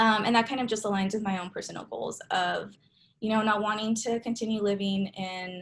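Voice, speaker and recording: A woman speaks at a fairly quick pace with a somewhat breathy voice. Her intonation is monotone and flat. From Southern California (Santa Ana). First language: Spanish. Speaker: grad student, guest speaker. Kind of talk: talk to a class on video call. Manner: casual, frequent fillers.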